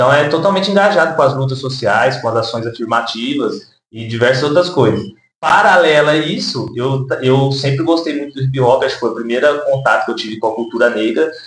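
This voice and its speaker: Somewhat breathy and medium in pitch, a man speaks with lively intonation. His pace is fairly quick, and the room echo is audible. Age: 20s. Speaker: social worker and rapper. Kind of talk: interview. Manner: hesitant with fillers.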